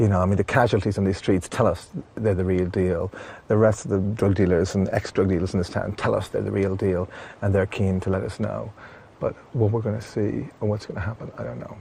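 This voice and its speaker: Speaking with an English accent, a man keeps a fairly quick pace with ordinary pitch variation and a fairly low pitch. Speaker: documentary presenter. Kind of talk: documentary field reporting.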